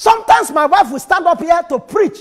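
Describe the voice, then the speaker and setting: A quiet background behind a man's fairly quick speech. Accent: Nigerian. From Nigeria. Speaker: pastor. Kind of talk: sermon. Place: church. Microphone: lapel.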